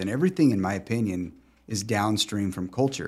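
The recording is very clean with a silent background. A man with a fairly low pitch has an ordinary speaking voice. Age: 40s. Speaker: podcast host and attorney. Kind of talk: casual chat.

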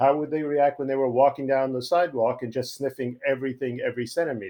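A man at medium pitch with a Long Island accent and a very fast pace. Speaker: podcast guest, poet and comic strip writer. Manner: quick, joking, conversational.

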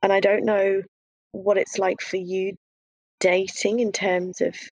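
Heard with a dry, close sound and no echo, the speaker talks at a moderate pace in an English accent. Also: woman. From UK. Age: 30s. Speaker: guest sharing expat dating experience. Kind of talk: casual chat. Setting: video call.

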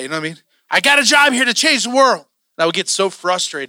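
A man speaks very fast in a raised, projected voice, with a bright, sharp tone, an animated delivery and very wide pitch swings. The recording is very clean with a silent background and a dry, close sound with no echo. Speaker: preacher. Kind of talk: sermon. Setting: church. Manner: animated, casual preacher's delivery, joking and fired up; conversational, emotional, peppered with slang and asides.

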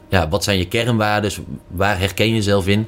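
A man's very fast, fairly low-pitched speech. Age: 20s. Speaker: commercial manager. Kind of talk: casual interview.

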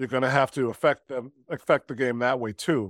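A man with a medium-pitched voice, a plain, everyday voice, talks at a moderate pace in a very clean recording with a silent background and a dry, close sound with no echo. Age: 30s. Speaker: basketball podcast co-host. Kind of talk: casual sports chat. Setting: home recording at girlfriend's house.

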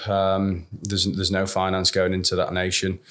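In a Yorkshire accent, a man with a very deep, low pitch speaks at a moderate pace. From northern England, Sheffield. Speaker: managing director of a cricket supporters' travel business. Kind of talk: interview.

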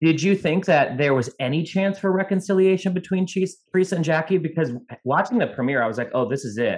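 The speaker sounds enthusiastic, with lively intonation. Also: man. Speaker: podcast host. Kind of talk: casual chat.

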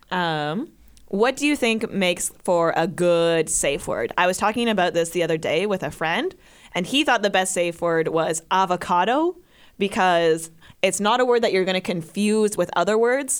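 On a very clean recording with a silent background, a woman uses a normal speaking voice at a moderate pace with lively intonation. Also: medium pitch for a woman. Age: 20s. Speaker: podcast co-host. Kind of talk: casual chat.

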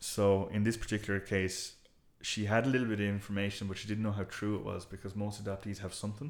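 A man with a west of Ireland accent talks at a very fast pace. His pitch is fairly low and his intonation fairly even. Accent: west of Ireland Irish. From Ireland, south Galway. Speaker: genealogist and local historian. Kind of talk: casual interview chat. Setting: in a house, face-to-face.

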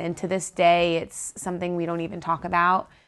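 An ordinary speaking voice from a woman with an American accent, fairly low-pitched, at a fairly quick pace over a quiet background. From South Florida. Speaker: ministry worker. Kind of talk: testimony.

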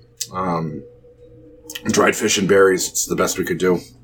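Raspy and put on as a character voice, the speech comes at a moderate pace with fairly even intonation. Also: man, very deep, low pitch for a man. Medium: actual play.

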